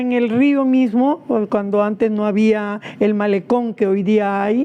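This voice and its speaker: Amid noticeable background noise, a woman speaks at a very slow pace, her fairly high pitch held in fairly even intonation. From Peru, Lima (Rímac). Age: 80s+. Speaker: activist. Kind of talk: interview testimony. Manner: hesitant, with fillers.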